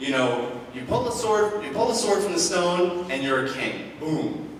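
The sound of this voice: A man speaks at a high pitch with big pitch swings. Audible room echo surrounds his voice. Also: moderate pace.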